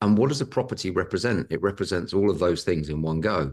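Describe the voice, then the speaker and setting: Against a quiet background, a man with a British accent speaks at a very deep, low pitch. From Britain. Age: 50s. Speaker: property investor. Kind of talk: podcast interview.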